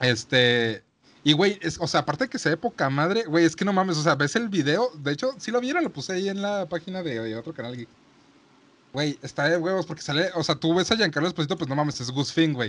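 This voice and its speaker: A man with a Mexican accent speaks at a fairly quick pace in a fairly high pitch, his intonation lively. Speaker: podcast host. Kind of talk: casual chat.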